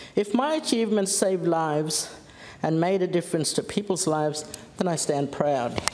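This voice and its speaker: With lively intonation and a medium pitch, a woman speaks at a moderate pace over noticeable background noise and audible room echo. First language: Gija. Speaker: politician. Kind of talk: parliamentary speech. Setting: parliament chamber.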